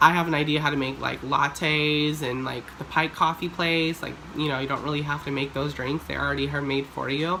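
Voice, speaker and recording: The talking moves at a fairly quick pace against noticeable background noise. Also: woman. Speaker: YouTuber. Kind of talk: storytime vlog. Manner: animated.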